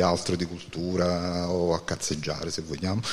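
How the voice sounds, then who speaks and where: A man's very deep, low voice. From Naples area, Campania. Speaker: band musician. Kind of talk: interview.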